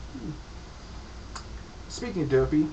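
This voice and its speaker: A man with an American accent speaks amid audible room echo and noticeable background noise. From upstate New York, near Pennsylvania border. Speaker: gaming video creator. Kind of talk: casual gaming commentary monologue.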